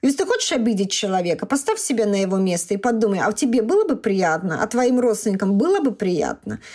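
Over noticeable background noise, a woman talks at a very fast pace with hardly any pauses, a fairly high pitch, lively intonation, and very even loudness. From Russia. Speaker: doctor. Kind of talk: interview.

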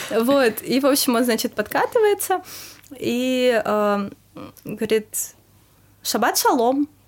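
Very slow and broken by long, frequent pauses, a woman's high-pitched speech has lively intonation and very even loudness. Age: 20s. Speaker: restaurant PR specialist. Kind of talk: casual chat.

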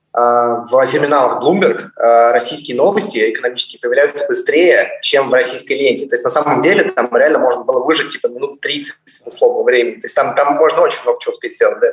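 The talking goes at a very fast pace. Noticeable background noise runs underneath. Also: man. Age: 20s. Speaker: fund manager. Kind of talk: casual chat. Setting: video call.

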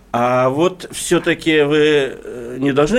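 A man is heard speaking at a fairly high pitch. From Russian Far East, Khabarovsk. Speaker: newspaper editor-in-chief, interviewer. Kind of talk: radio interview. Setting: studio.

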